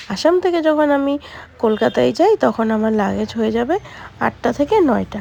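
A woman's voice, dry and close with no echo, over noticeable background noise. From Assam, India. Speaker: vlogger. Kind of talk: casual vlog talk to camera.

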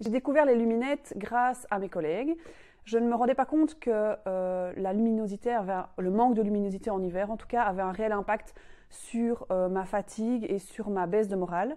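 In a Belgian accent, a dark, mellow voice with ordinary pitch variation moves at a moderate pace over a quiet background. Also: woman, fairly high pitch for a woman. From Belgium, Mons region; Belgium. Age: 30s. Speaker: civil engineer, product user. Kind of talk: testimonial. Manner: hesitant, many fillers. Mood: calm, friendly. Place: home room. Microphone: lapel.

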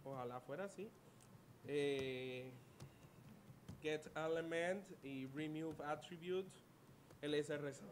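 The speech comes at a slow pace with long, frequent pauses and ordinary pitch variation. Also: man, fairly high pitch for a man.

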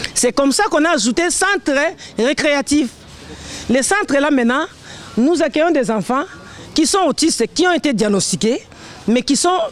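A woman with a high pitch speaks at a moderate pace, her pitch swinging very widely while her loudness stays very even. She leaves long, frequent pauses, and the sound is dry with no echo. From DR Congo. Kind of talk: speech at a community event. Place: street.

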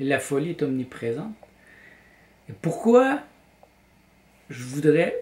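Fairly high-pitched and somewhat breathy, a man speaks at a fairly slow pace with a dark, mellow tone and lively intonation. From Quebec, Montreal. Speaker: vlogger and graphic designer; vlogger. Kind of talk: personal vlog monologue. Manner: hesitant, with repetitions. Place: home room. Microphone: camera far.

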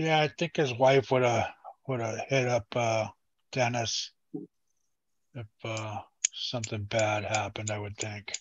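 A man speaks at a fairly slow pace with long, frequent pauses and fairly even intonation. His voice is somewhat breathy, and the sound is dry with no echo. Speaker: panel regular on live RC hobby stream; live show host. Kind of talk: casual chat. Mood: relaxed, chatty. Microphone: headset.

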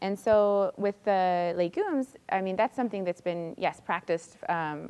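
At a moderate pace, a woman talks with an American accent and fairly even intonation. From California. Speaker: doctoral student; candidate. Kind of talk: lecture. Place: classroom.

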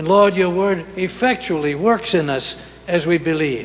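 This man has a high pitch. His pitch varies in an ordinary way. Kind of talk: scripture reading and prayer. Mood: reverent, solemn. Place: church. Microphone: podium.

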